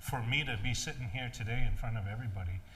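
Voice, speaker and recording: A man's lively intonation carries through audible room echo. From Maine, Passamaquoddy community. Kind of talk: panel discussion. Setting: stage with audience. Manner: loud; halting, many fillers.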